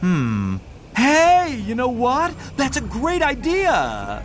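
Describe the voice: A man puts on a cartoonish character voice at an extremely high pitch, moving slowly through very wide pitch swings.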